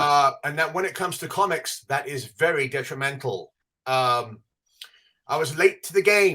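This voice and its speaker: A man with an English accent talks at a moderate pace in a fairly high pitch with a bright, sharp tone. His pitch variation is ordinary, but his loudness swings widely. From England. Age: 50s. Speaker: podcast co-host, comic book expert. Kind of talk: casual chat.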